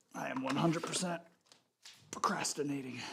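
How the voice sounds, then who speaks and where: Fairly even intonation and a moderate pace from a man with a fairly high pitch. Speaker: fitness streamer. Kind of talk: live workout stream. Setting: home gym, live stream. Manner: louder than usual, near normal volume; casual, chatty.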